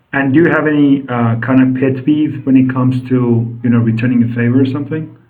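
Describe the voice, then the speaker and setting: A man's medium-pitched voice, monotone and flat, at a fairly quick pace with hardly any pauses and audible room echo. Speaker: English teacher. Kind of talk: interview.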